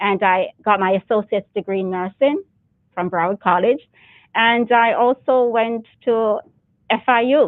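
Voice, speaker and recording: A woman with a Jamaican accent speaks fairly slowly at a fairly high pitch. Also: ordinary pitch variation. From Jamaica (Clarendon, May Pen). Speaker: military reserve officer and nurse. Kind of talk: interview. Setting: studio, speaking through double glass and mask.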